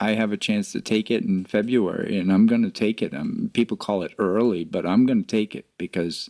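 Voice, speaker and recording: A man speaks in a normal speaking voice with lively intonation at a fairly quick pace, the sound dry and close with no echo and the recording very clean over a silent background. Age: 60s. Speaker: podcast co-host, financial advisor. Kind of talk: casual podcast discussion.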